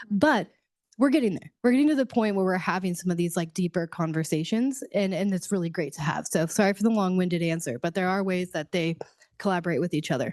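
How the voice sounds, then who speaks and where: This woman talks very fast at a medium pitch. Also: lively intonation. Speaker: workforce program coordinator. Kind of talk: public meeting discussion. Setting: meeting room with online participants. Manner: loud.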